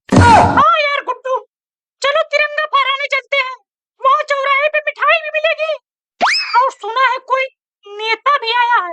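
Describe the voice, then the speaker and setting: In a cartoonish character voice, a woman speaks at an extremely high pitch and a fairly slow pace, with long, frequent pauses and sound effects in the background. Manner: eager, easily offended.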